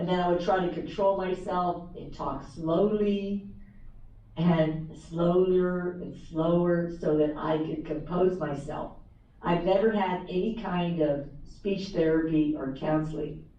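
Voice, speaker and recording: Audible room echo surrounds a woman's fairly low voice and fairly even intonation. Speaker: author and former teacher. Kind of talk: motivational talk. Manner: repetitive, halting in places.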